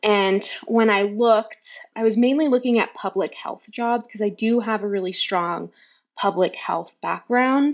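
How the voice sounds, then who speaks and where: A plain, everyday voice, a woman with an American accent speaks at a fairly slow pace with a fairly high pitch and ordinary pitch variation. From US West Coast, California Bay Area. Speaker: clinical research coordinator and science influencer. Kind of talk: casual interview.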